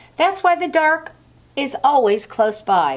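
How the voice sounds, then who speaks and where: A woman speaks in a creaky, put-on character voice. Her pitch swings very widely at a moderate pace. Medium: read story.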